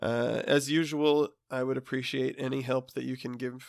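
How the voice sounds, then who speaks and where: A man's medium-pitched voice, flat and monotone, at a moderate pace on a very clean recording with a silent background. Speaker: podcast host reading classic literature. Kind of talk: podcast outro; reading aloud.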